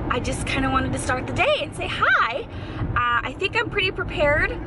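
Loud background noise plays under a woman whose voice sounds dry, with no echo. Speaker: vlogger. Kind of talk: casual talk to camera. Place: car. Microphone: phone near.

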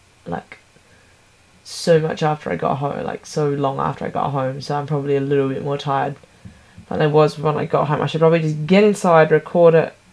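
Noticeable background noise sits behind this woman's voice. Her pitch is very deep and low, and she talks at a fairly quick pace. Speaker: vlogger. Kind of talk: casual vlog monologue.

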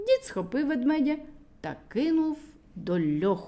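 A woman with a high pitch and a dark, mellow tone speaks at a fairly slow pace, her pitch swinging widely.

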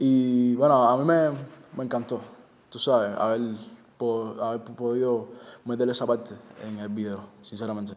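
At a moderate pace, a man of medium pitch speaks with long, frequent pauses and big swings in loudness. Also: fairly even intonation. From Cuba, Santa Clara; Cuba. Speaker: reggaeton singer and songwriter; interviewee. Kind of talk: interview. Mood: relaxed, friendly. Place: home room.

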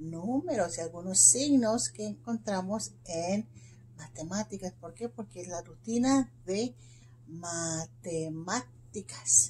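Speaking at a very slow pace, a woman with a fairly low pitch and a dark, mellow tone uses vocal fry and very wide pitch swings, with light background noise. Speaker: teacher. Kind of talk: lesson for young children. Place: classroom. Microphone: phone near.

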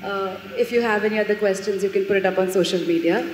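A woman is speaking. Noticeable background noise runs underneath her voice. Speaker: student moderator. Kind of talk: moderated Q&A. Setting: stage with audience. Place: hall. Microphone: handheld.

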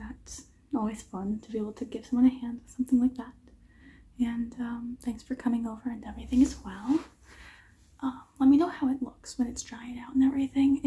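A soft-spoken woman talks at a high pitch in a dark, mellow tone. Her pace is fairly quick and her intonation fairly even. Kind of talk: roleplay talk to the viewer, soft and gentle. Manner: soft, quiet ASMR speaking. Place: home room. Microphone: phone near.

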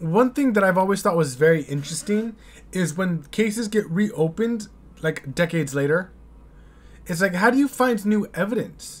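This man talks with a high pitch and lively intonation. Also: moderate pace. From United States. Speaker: YouTube reaction host. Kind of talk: casual reaction commentary. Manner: hesitant, filler-heavy. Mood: thoughtful, puzzled. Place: home room. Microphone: studio mic.

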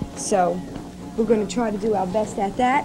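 A woman speaks with fairly even intonation. Clear music plays in the background. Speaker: TV show host. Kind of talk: show hosting talk. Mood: surprised, happy, a bit flustered. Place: studio. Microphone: handheld.

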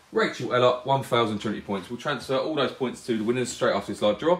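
A man's voice comes through with audible room echo and light background noise. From UK. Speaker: live-stream competition host. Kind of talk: live stream presenting a prize draw, casual. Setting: live video stream. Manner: friendly, chatty. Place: shop.

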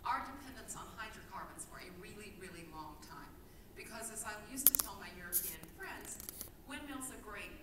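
With noticeable background noise and audible room echo around her, the woman moves along at a fairly quick pace. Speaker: speaker. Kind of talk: keynote speech. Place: hall.

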